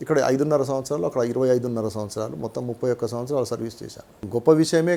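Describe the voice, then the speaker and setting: This man has a medium pitch and ordinary pitch variation. It is an unremarkable speaking voice. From Telangana, Nalgonda district. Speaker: retired tax official and advocate. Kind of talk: interview.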